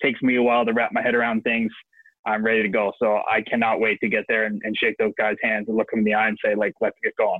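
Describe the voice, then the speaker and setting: A man's very fast, medium-pitched voice with an Ontario accent, monotone and flat, at very even loudness. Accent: Canadian (Ontario). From Ontario, Canada. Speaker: professional hockey player. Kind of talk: interview.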